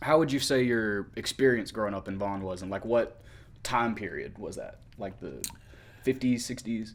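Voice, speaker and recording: This unremarkable speaking voice moves at a moderate pace with ordinary pitch variation. Its loudness swings widely. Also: man, medium pitch for a man. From US South, Mississippi. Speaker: interviewer, photographer and videographer. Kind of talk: interview.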